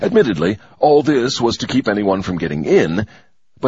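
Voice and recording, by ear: The voice sounds natural. It is reading text aloud.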